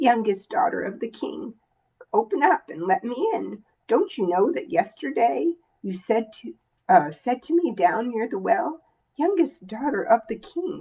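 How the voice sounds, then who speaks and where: A female-sounding voice does a croaky, put-on character voice at a fairly high pitch. It moves at a moderate pace with very wide pitch swings. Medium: read story. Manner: insistent.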